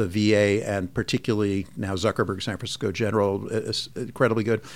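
With an American accent, a man speaks at a fairly quick pace in a fairly low voice with monotone, flat intonation. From US Northeast, Long Island, New York. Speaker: physician and medical department chair. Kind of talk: interview.

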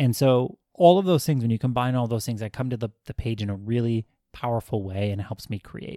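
Recorded very cleanly over a silent background, a man speaks at a fairly quick pace in a dark, mellow tone. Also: medium pitch for a man, ordinary pitch variation, dry, close sound with no echo. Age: 30s. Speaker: podcast host, writer. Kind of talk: solo motivational talk. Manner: casual, unscripted with fillers.

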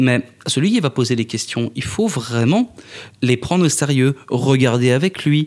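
With long, frequent pauses, a man speaks at a fairly slow pace in a medium pitch, his loudness very even and his pitch variation ordinary. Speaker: political scientist, conspiracy theory researcher. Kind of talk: interview. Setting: festival VIP area.

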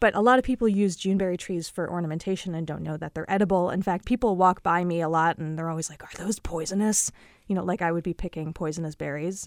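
Talking very fast with hardly any pauses, a woman with an American accent uses a fairly low pitch and ordinary pitch variation. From Illinois, Chicago suburbs. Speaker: amateur urban forager. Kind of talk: interview.

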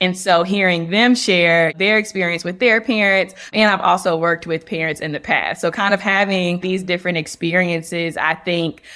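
A woman with an American accent and a medium pitch speaks in a bright, sharp tone at a moderate pace, with fairly even intonation and hardly any pauses. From North Carolina. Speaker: clinical social worker. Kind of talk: interview.

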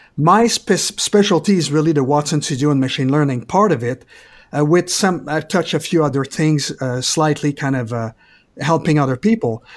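A man in a Quebec French accent, fairly high pitched, at a moderate pace with ordinary pitch variation, on a very clean recording with a silent background. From Quebec, Canada. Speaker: IT specialist. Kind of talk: casual interview.

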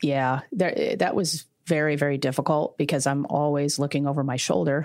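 A woman's very deep, low voice in an American accent, captured in a very clean recording with a silent background. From Tampa, Florida. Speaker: crime scene cleanup business owner. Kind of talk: interview.

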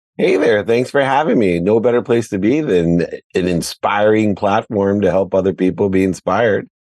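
This man has an unremarkable speaking voice with fairly low pitch, ordinary pitch variation, very even loudness, a moderate pace, and hardly any pauses. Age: 50s. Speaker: sports executive and entrepreneur. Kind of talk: interview.

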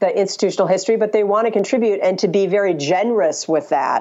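This woman has a normal speaking voice, pitched in the medium range with ordinary pitch variation. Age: 50s. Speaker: communications consultant and author. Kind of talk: interview.

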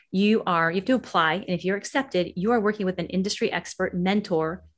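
This woman has a plain, everyday voice and an American accent, with medium pitch and ordinary pitch variation. She speaks at a fairly quick pace against a quiet background. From US West Coast, San Francisco Bay Area. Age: 50s. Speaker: author and educator. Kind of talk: interview.

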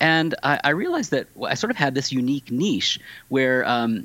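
This is an unremarkable speaking voice. The man uses lively intonation. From US Pacific Northwest, Tacoma, Washington. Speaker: author and church history professor. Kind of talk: interview.

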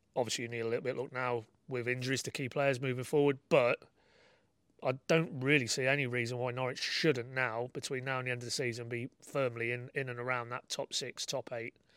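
A man with a northern English accent speaks at a fairly quick pace in a flat, monotone delivery at medium pitch, recorded very cleanly against a silent background with a dry, close sound and no echo. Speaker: football journalist. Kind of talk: casual chat.

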